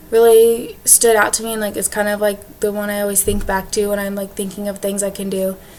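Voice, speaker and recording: A woman with a medium pitch speaks fairly quickly, and noticeable background noise is present. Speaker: education student. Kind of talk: class presentation video. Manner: fast; casual, lots of fillers.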